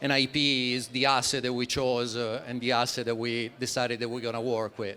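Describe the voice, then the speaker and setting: Speaking at a fairly quick pace, a man with an Italian accent has a bright, sharp tone and medium pitch. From Italy. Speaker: startup founder presenting project. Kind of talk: conference presentation. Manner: halting, many fillers.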